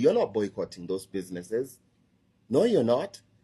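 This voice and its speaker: A man talks with a Kenyan accent in a dark, mellow tone. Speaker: social media commentator. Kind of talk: online video rant. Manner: animated.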